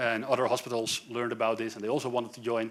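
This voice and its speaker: Here a man talks at a very fast pace. His pitch is medium, and he has a Dutch accent. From Netherlands, Amsterdam. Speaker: software developer, tech speaker. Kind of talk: tech talk at a meetup.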